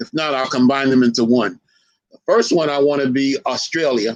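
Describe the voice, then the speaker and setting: This man's voice sits fairly high and keeps a moderate pace. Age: 60s. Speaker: historian lecturer. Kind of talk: lecture.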